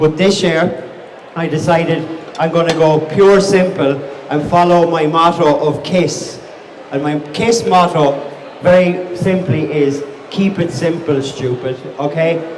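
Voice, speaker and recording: Over noticeable background noise and audible room echo, a man with a Wexford accent speaks at a high pitch and fairly slow pace, his intonation fairly even. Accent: Wexford Irish. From Ireland, County Wexford (southeast). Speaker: chef and restaurant owner. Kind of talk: live cookery demonstration. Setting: outdoor market stage with audience. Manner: casual, repeats and restarts words.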